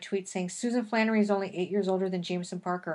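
Against a quiet background, a woman with a plain, everyday voice speaks at a medium pitch with fairly even intonation. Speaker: podcast host. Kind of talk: casual chat.

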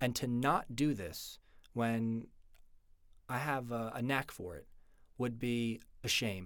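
Very slow speech comes from a man, broken by long, frequent pauses. His pitch varies in an ordinary way. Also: medium pitch for a man. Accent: American. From New York area. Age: 20s. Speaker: student podcaster. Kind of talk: unscripted political monologue.

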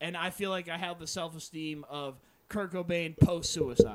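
With an American accent, a man speaks at a moderate pace in a high voice over noticeable background noise. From South Jersey, US.

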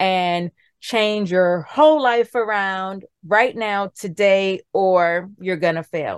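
Speaking at a very slow pace with a New York accent, a woman at medium pitch shows ordinary pitch variation in a dry, close sound with no echo and a quiet background. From New York City, the Bronx. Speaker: wellness coach and nurse. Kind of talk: interview.

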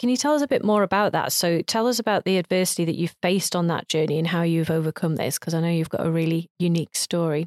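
Here is a woman with an ordinary speaking voice, fairly low in pitch, with ordinary pitch variation and a fairly quick pace. The sound is dry and close with no echo, on a very clean recording with a silent background. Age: 40s. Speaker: entrepreneur acting as interviewer. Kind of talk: interview.

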